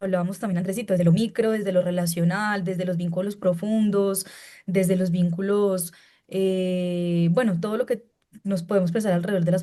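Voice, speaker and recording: Her voice sits at a medium pitch for a woman and carries a dark, mellow tone. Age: young. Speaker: panelist in education discussion. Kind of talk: panel discussion. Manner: halting, many fillers.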